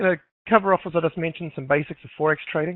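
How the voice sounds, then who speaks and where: This man has a New Zealand accent and a high pitch. He talks at a very fast pace. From New Zealand, Auckland. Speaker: forex trader and educator. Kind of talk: webinar presentation. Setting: live online webinar. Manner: halting, many fillers.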